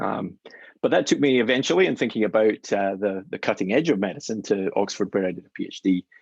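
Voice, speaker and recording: Speaking at a very fast pace, a man with a Scottish accent uses lively intonation and a fairly low pitch. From Scotland, Glasgow. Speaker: physician scientist. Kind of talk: lecture. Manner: hesitant fillers.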